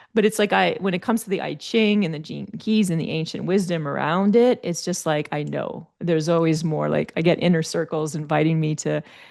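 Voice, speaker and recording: This woman speaks fairly quickly in a French Canadian accent, her pitch fairly low. Her pitch varies in an ordinary way. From Quebec, Canada. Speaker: life coach and speaker. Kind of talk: interview chat.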